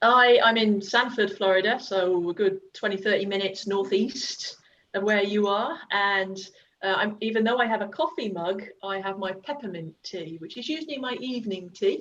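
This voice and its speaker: A woman with an English accent speaks at a medium pitch and a moderate pace, using ordinary pitch variation. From England, Worcestershire (West Midlands). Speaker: youth soccer coach. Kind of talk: casual chat.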